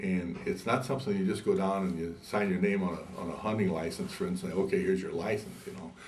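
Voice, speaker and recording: Hardly pausing, a man talks at a very fast pace amid noticeable background noise and audible room echo. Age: 70s. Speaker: pilot and aircraft builder. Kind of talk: oral history interview. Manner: halting, many repetitions.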